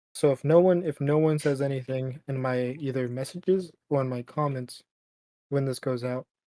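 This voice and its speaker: In a plain, everyday voice, a man with fairly high pitch speaks at a moderate pace and with fairly even intonation, the sound dry and close with no echo. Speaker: podcast co-host. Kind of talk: casual chat.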